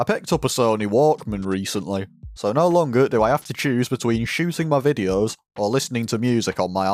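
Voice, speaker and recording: Over music in the background, a man talks at a fairly quick pace with lively intonation, the sound dry and close with no echo. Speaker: model kit hobbyist. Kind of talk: build review voiceover.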